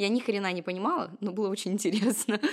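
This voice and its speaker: Over a very clean recording with a silent background, a woman in a plain, everyday voice speaks at a fairly quick pace, medium in pitch with ordinary pitch variation. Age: 20s. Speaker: tarot reader and numerologist. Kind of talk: casual chat.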